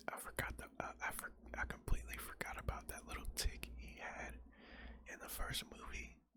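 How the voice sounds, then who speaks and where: Whispering at a moderate pace. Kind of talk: casual commentary on the script. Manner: whispered.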